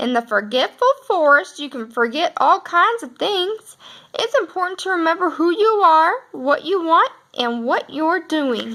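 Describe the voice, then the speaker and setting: A woman speaks in a put-on character voice at an extremely high pitch. Her pace is moderate. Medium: read story.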